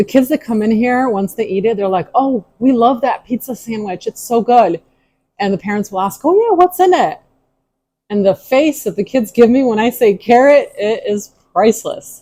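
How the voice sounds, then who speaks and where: A woman speaks at a moderate pace with a fairly high pitch. Her tone is dark and mellow, and her intonation is lively. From Ukraine. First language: Ukrainian. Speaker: tea room owner, cooking video host. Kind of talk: cooking tutorial. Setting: kitchen.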